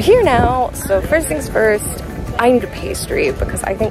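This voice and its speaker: A woman's voice sounds dry with no echo, set against clear background music. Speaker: travel vlogger. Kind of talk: casual vlog chat. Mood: cheerful, slightly worn out. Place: waterside. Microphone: phone near.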